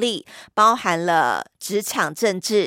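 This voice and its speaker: An animated tone with lively intonation, the sound dry and close with no echo. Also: woman, very clean recording, silent background. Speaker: podcast host. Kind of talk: scripted intro narration.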